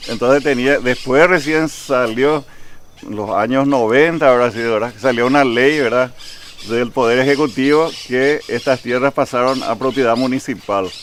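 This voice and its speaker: A man talks in a plain, everyday voice at medium pitch, with fairly even intonation and a fairly slow pace. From Paraguay, Asunción, raised from age 12 in Vallemí. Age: 60s. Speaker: local historian interviewee. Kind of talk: interview.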